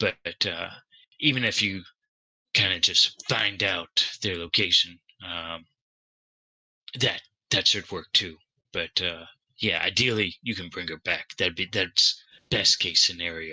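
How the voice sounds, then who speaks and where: Taking long, frequent pauses, a man does a raspy put-on character voice at a very deep, low pitch, in a dry, close sound with no echo. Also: fairly slow pace. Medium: actual play. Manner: hesitant, stammering, full of fillers.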